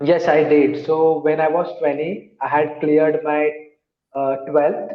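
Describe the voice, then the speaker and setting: A fairly high-pitched man at a fairly slow pace, monotone and flat in intonation, with audible room echo. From India, Mumbai. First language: an Indian language. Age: 30s. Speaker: English learner, call center team leader. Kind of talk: online English practice conversation. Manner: halting.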